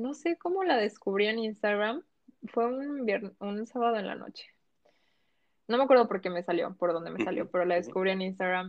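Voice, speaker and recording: A woman's normal speaking voice at medium pitch, with lively intonation and a fairly quick pace. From Mexico, Colima coast (Manzanillo), moved to Quintana Roo at 12. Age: 20s. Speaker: lawyer and fitness account founder. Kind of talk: casual interview chat.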